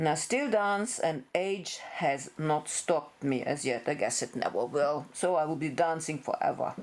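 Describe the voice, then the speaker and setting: A woman with a German accent, a very deep, low pitch, ordinary pitch variation, a moderate pace, and hardly any pauses. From Germany. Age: 60s. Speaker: veterinarian. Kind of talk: personal introduction video.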